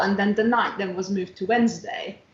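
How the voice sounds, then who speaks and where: A woman at medium pitch and a fairly quick pace, with ordinary pitch variation and noticeable background noise. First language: not English. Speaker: dance teacher. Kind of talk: casual interview chat.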